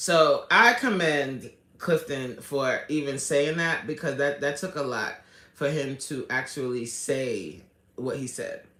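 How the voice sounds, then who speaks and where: Her voice is very deep and low for a woman, with a bright, sharp tone and audible room echo. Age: 40s. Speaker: livestream host. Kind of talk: casual livestream commentary. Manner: animated.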